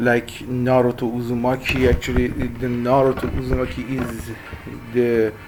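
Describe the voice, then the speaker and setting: A fairly slow delivery in a Persian accent, with music playing in the background. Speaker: web design instructor. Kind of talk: tutorial intro. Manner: halting, many fillers.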